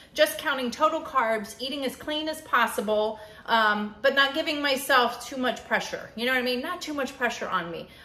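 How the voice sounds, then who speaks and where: Audible room echo surrounds a raised, projected voice that moves at a moderate pace with hardly any pauses, big swings in loudness and ordinary pitch variation. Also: woman. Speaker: keto vlogger. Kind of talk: casual vlog chat. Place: kitchen. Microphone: phone near.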